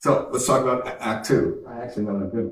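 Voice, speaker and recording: With an American accent, a somewhat breathy man speaks at a fairly quick pace. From Canada. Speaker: tech company founder and CEO. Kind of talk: conference keynote speech.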